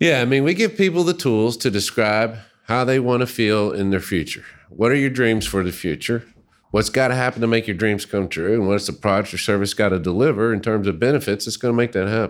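A man with an ordinary speaking voice talks in an American accent at medium pitch. He moves at a fairly quick pace with ordinary pitch variation. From US South, Little Rock, Arkansas. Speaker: user experience researcher. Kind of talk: casual chat. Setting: studio.

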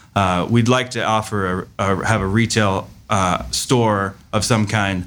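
The man's voice is fairly low and unremarkable, with ordinary pitch variation. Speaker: salami maker and food business owner. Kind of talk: casual interview chat.

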